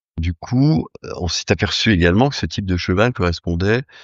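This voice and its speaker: The pace is moderate. The intonation is lively. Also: man. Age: 60s. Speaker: horse breeder. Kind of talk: interview. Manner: hesitant, many fillers.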